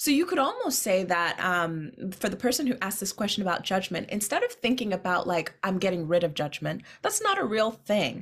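A woman with an unremarkable speaking voice, medium pitch, lively intonation and a fairly quick pace. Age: 30s. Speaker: poet and podcast host. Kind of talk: casual chat.

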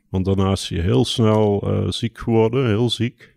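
In a normal speaking voice, a man talks at a fairly slow pace and a fairly low pitch, the sound dry and close with no echo on a very clean recording with a silent background. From southern Netherlands, Brabant (Mierlo). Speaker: poet and designer. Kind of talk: casual interview. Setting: outdoors overlooking a bulb field.

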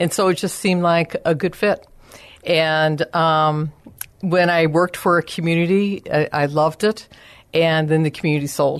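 A woman with an ordinary speaking voice talks at a moderate pace and a fairly low pitch. Her loudness stays very even, her intonation fairly even, and the background is quiet. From Chicago area, US Midwest. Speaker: senior care business owner. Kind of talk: radio interview.

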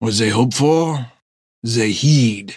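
Using a put-on character voice, a man speaks at a very slow pace and a medium pitch. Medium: read story. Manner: formal, measured, no contractions.

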